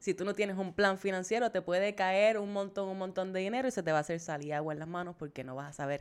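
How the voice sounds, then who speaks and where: A woman talks at a very fast pace in an animated tone. Her pitch is fairly low with ordinary variation. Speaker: podcast co-host, money coach. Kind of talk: casual chat.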